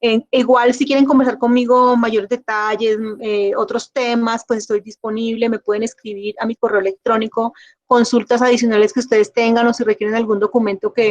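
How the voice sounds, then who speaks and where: A woman speaks at a fairly quick pace with a fairly high pitch. The sound is dry and close, with no echo. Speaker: government environmental official, speaker. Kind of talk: closing remarks after lecture. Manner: fast.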